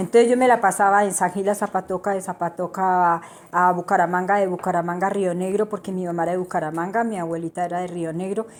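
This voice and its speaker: Talking at a very fast pace with hardly any pauses, a woman holds a monotone, flat intonation at medium pitch, on a very clean recording with a silent background. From Bogotá, Colombia, Santander family. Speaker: interviewee. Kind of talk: interview.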